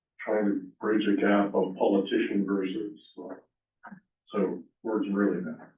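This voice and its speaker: A man with a fairly low pitch speaks at a fairly slow pace in a monotone, flat intonation. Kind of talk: casual chat.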